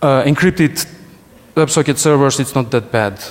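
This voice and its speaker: A Russian accent amid noticeable background noise. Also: man. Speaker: security researcher, conference speaker. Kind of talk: conference talk. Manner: halting, many restarts.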